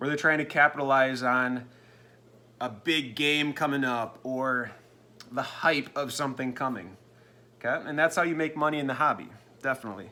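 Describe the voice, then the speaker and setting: With an American accent and a bright, sharp tone, the speaker keeps a moderate pace with ordinary pitch variation and long, frequent pauses. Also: man, medium pitch for a man. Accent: Minnesotan, lighter in spring and summer. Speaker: sports card seller and video host. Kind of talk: casual vlog update.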